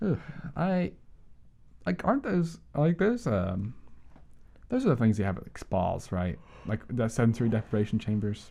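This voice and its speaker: Mumbling with a dark, mellow tone, a man swings very widely in pitch and takes long, frequent pauses. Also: medium pitch for a man, moderate pace. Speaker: podcast co-host. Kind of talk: casual chat. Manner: halting.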